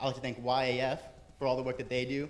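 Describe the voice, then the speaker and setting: A man at a very fast pace, with audible room echo. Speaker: student club president. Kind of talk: event introduction speech. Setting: theater with audience.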